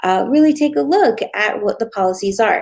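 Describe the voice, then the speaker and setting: At a moderate pace, a woman speaks with lively intonation in a fairly high pitch. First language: not English. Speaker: Facebook ad strategist. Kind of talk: tutorial. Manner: casual, conversational with fillers.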